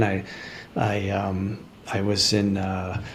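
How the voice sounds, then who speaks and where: A man speaks with an American accent over noticeable background noise, and the room echo is audible. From Chicago, US Midwest. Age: 70s. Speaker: retired dentist turned farmer. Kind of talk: interview. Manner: halting, many fillers.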